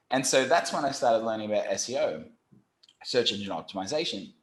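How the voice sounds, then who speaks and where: Using an Australian accent, a man talks at a medium pitch and a fairly quick pace. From Australia, Brisbane. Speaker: SEO company founder. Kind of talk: podcast interview. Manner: animated.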